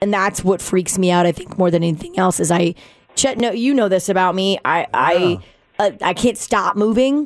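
This woman has a medium pitch and a normal speaking voice. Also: ordinary pitch variation, moderate pace. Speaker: departing radio show co-host. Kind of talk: casual emotional farewell chat. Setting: radio studio. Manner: emotional, chatty.

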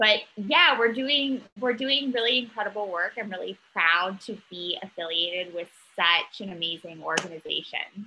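With a plain, everyday voice, a woman speaks at a medium pitch and with lively intonation. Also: moderate pace, hardly any pauses. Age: 30s. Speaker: mental health advocate. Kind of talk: casual interview chat.

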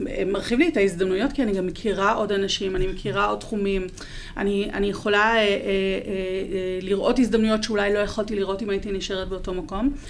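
A woman with a medium pitch talks at a moderate pace, her intonation fairly even. Noticeable background noise and audible room echo come through. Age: 40s. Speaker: marketing content manager. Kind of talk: interview.

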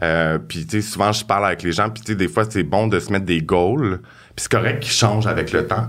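An unremarkable speaking voice from a man, fairly low in pitch, at a moderate pace with ordinary pitch variation. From Quebec, South Shore of Montreal. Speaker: hairstylist. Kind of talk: casual interview.

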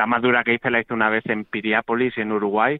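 Fairly quick and monotone, a man speaks at medium pitch with flat intonation. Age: 40s. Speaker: wheelchair marathon athlete. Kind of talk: interview. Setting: phone call.

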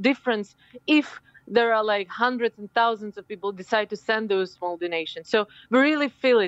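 With a Ukrainian accent, a woman speaks at a moderate pace in a fairly high pitch with ordinary pitch variation. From Ukraine. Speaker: politician. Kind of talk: interview. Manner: halting.

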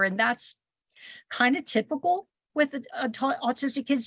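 The voice belongs to a woman whose intonation is lively. A slight breathiness runs through it. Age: 60s. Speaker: grandmother and caregiver. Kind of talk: radio interview.

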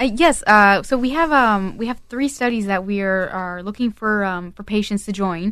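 Here a woman speaks at medium pitch with ordinary pitch variation. Her pace is moderate. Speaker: clinical research staff. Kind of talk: radio interview. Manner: halting, many fillers.

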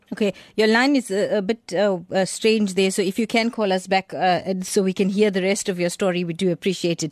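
A woman with a plain, everyday voice talks fairly quickly with hardly any pauses, medium pitch, and fairly even intonation, in a dry, close sound with no echo and a quiet background. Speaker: radio host. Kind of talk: radio talk show. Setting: studio.

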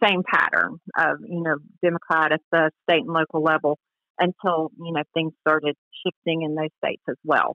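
A woman with a fairly low pitch talks in a plain, everyday voice, keeping a moderate pace. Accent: American. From Georgia, US. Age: 50s. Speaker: Republican political campaigner. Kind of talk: interview.

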